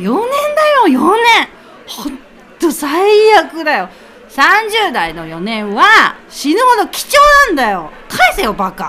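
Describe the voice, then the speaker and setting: Putting on a character voice with an angry tone, a woman speaks in a raised, projected voice at a high pitch and a fairly slow pace, with very wide pitch swings, big swings in loudness, and long, frequent pauses. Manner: angry, ranting.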